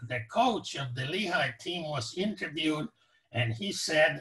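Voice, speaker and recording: A man reads at a fairly slow pace, and his intonation is lively. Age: 80s+. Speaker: professor emeritus and Holocaust survivor. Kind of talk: casual interview conversation. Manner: hesitant, many fillers.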